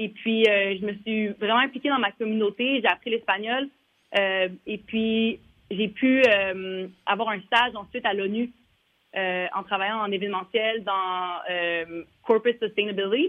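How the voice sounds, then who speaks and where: This woman talks at a fairly slow pace with a fairly high pitch and fairly even intonation. She has a plain, everyday voice. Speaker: former basketball player, league staffer. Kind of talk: interview.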